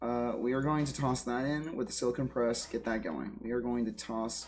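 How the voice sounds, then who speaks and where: Against music in the background, a man talks at a medium pitch with ordinary pitch variation. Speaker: gaming streamer. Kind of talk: live gameplay stream. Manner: casual, thinking aloud.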